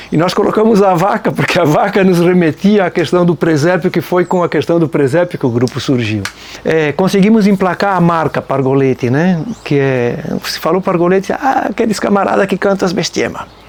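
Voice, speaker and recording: The speaker keeps a moderate pace and very even loudness with lively intonation. Noticeable background noise runs underneath. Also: man, high pitch for a man. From Nova Trento, Santa Catarina, Brazil. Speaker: folk band musician. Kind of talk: documentary interview. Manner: casual, conversational.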